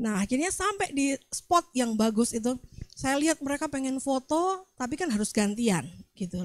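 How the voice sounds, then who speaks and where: This woman has a high pitch and a Javanese accent. She speaks at a fairly slow pace with very wide pitch swings. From Central Java, Magelang. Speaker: pastor. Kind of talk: sermon.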